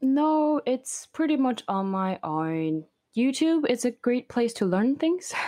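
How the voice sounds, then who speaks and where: A woman with a high pitch and a dark, mellow tone speaks at a very slow pace, her pitch swinging very widely while her loudness stays very even. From Beijing, China; moved to Canada at 16. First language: Mandarin. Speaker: overlander and video creator. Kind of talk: interview conversation.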